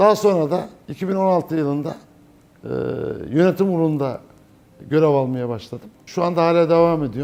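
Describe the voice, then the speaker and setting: With ordinary pitch variation, a man with a high voice speaks at a fairly quick pace but leaves long, frequent pauses. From Turkey, Çankırı. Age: 60s. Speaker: business owner. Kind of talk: interview testimony.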